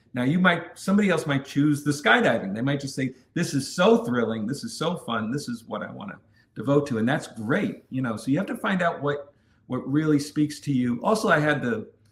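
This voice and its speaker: A man's fairly high, somewhat breathy voice with lively intonation and an American accent. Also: fairly quick pace. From New York City. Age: 50s. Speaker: adventure content creator. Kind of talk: interview.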